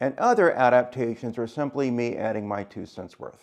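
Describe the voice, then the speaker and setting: The speaker is a man with a medium pitch. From Louisiana, New Orleans. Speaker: home cook. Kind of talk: scripted introduction. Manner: formal.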